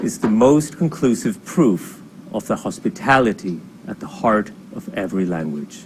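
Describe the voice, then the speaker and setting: Over noticeable background noise, a man talks at a moderate pace and medium pitch, with very wide pitch swings. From Sweden. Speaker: novelist and university administrator. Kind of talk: scripted opinion essay.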